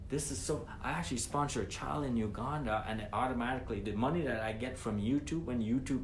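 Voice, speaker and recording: Animated in tone and very fast, a man's medium-pitched voice shows ordinary pitch variation against audible room echo. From Guyana. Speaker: former trucking company owner, entrepreneur. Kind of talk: motivational monologue. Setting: live stream. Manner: animated, repetitive.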